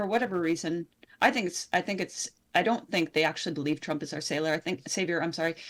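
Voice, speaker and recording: A woman's normal speaking voice, fairly low in pitch and fairly quick, on a very clean recording with a silent background. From Canada. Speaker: independent journalist. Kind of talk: interview conversation.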